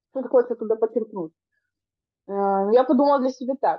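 A woman's fairly high voice with lively intonation, an ordinary speaking voice. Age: 30s. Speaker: podcast co-host. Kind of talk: casual chat.

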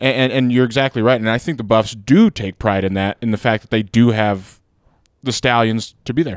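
A plain, everyday voice from a man at a medium pitch, fairly quick pace and ordinary pitch variation, with big swings in loudness, in a dry, close sound with no echo on a very clean recording with a silent background. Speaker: podcast producer. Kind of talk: casual sports chat.

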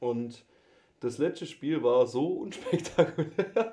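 A man with a dark, mellow tone and a fairly high pitch speaks very slowly, his pitch swinging very widely. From Swabia, Germany. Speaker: student, podcast guest. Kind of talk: casual chat. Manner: animated.

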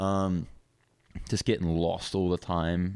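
In a very clean recording with a silent background, a man with an Australian accent speaks in a very deep, low voice. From Hong Kong, international school English. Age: 20s. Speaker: downhill skateboarder. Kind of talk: casual chat.

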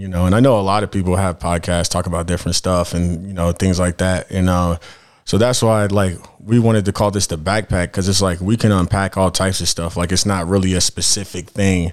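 On a very clean recording with a silent background, a man with an American accent and a very deep, low pitch speaks at a fairly quick pace in a monotone, flat intonation. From Denver, Colorado. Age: 30s. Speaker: podcast co-host, music producer and truck driver. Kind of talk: casual chat.

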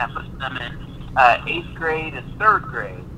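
Noticeable background noise surrounds this recording. A man speaks at a fairly slow pace with a fairly high pitch. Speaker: attorney. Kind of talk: panel discussion.

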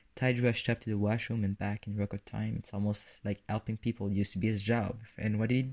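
An unforced reading voice, its intonation kept mostly level

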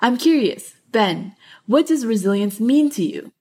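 Intonation is lively in this woman's voice. She has an American accent and a dark, mellow tone. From Los Angeles. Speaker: podcast host, student. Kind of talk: scripted narration.

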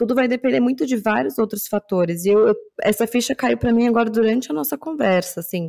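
With a São Paulo accent, a woman talks at a fairly quick pace in a fairly high pitch and a dark, mellow tone. The recording is very clean, with a silent background. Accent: Paulistano Brazilian Portuguese. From São Paulo, Brazil (Zona Norte). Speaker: podcast co-host. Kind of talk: casual chat.

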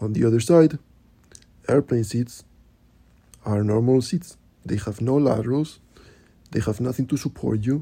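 With a dark, mellow tone and a somewhat breathy quality, a man speaks at medium pitch and a moderate pace, his pitch varying in an ordinary way between long, frequent pauses. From Spain. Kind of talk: solo advocacy talk.

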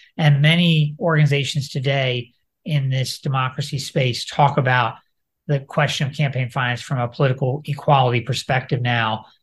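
The voice is somewhat breathy, moving at a moderate pace with fairly even intonation. The background is quiet. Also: man. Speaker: attorney and democracy advocate. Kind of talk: interview. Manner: halting.

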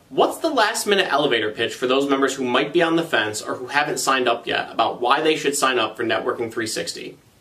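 Speaking very fast with hardly any pauses, a man with a fairly high pitch is heard over noticeable background noise. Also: lively intonation. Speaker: trade association video show host. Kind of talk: scripted news reading and interview.

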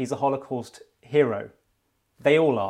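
On a very clean recording with a silent background, a man uses an ordinary speaking voice at a medium pitch and a moderate pace. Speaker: interviewer. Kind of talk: interview.

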